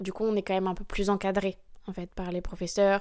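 Her voice at a medium pitch, a woman speaks in a dark, mellow tone with monotone, flat intonation. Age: 20s. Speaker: professional dancer. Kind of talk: interview.

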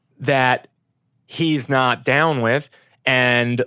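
In a very clean recording with a silent background, a man speaks with a New York accent. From New York, Brooklyn. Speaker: film location manager. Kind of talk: casual chat. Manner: animated.

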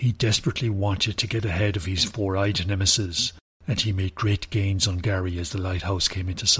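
This reading voice is unforced, and its intonation stays fairly even.

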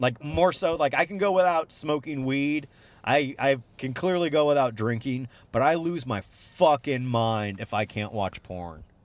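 This man has an ordinary speaking voice with a fairly high pitch. He talks fairly slowly, with lively intonation. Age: 30s. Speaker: stand-up comedian. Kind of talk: casual chat.

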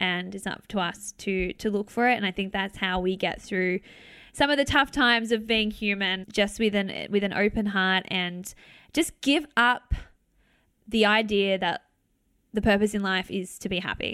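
With an Australian accent, a woman speaks at a moderate pace and medium pitch in a bright, sharp tone with ordinary pitch variation, on a very clean recording with a silent background. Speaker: motivational speaker. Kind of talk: interview conversation.

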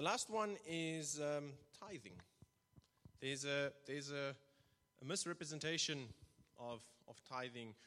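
A man with a non-native accent speaks at a fairly slow pace, leaving long, frequent pauses. His voice is fairly high and bright and sharp in tone, with ordinary pitch variation. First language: not English. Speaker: church elder and lay preacher. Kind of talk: sermon. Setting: church. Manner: halting.

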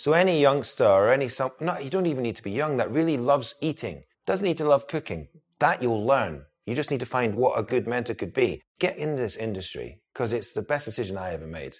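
Vocal fry runs through a man's voice as he talks at a fairly quick pace. His pitch swings very widely over a quiet background. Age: 30s. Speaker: chef. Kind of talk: casual chat.

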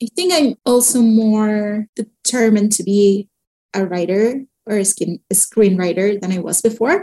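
At a fairly slow pace, a woman speaks with a medium pitch, ordinary pitch variation, and a dark, mellow, somewhat breathy tone, the sound dry and close with no echo. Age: 30s. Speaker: writer and screenwriter. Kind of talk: interview conversation.

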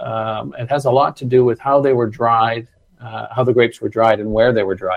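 An unremarkable speaking voice, its pitch varying in an ordinary way. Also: man. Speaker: sommelier. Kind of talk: casual interview chat.

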